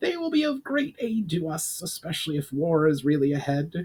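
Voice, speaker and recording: A man's high-pitched, put-on character voice at a moderate pace. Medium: read story. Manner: formal, commanding.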